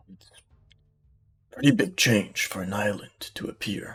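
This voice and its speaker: A man performs a put-on character voice. It stays at a medium pitch. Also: moderate pace. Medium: actual play.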